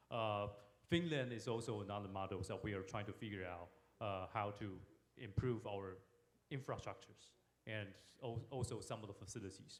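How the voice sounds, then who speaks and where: A man at a moderate pace, with audible room echo. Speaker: forum moderator, government security official. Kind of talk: panel discussion moderation. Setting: stage at international forum. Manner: halting, many fillers.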